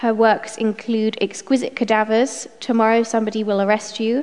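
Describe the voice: A woman talks at a moderate pace with a fairly high pitch. Her tone is slightly mellow, with little pitch movement.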